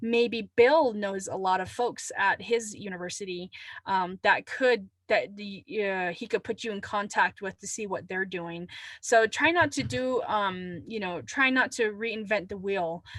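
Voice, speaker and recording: Using a plain, everyday voice, a woman talks at a fairly slow pace and medium pitch, with ordinary pitch variation and big swings in loudness. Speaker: climate adaptation trainer. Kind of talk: webinar presentation.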